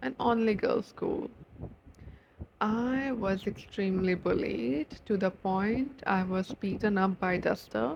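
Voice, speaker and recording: At a very slow pace, a woman with a non-native accent speaks at a medium pitch. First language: not English. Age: 18. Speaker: YouTuber. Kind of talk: personal vlog. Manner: animated.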